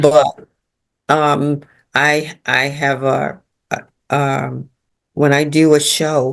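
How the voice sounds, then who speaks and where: Speaking in an American accent, a woman with a very deep, low pitch talks at a very slow pace in monotone, flat intonation with long, frequent pauses. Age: 70s. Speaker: fashion model. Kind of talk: interview answer.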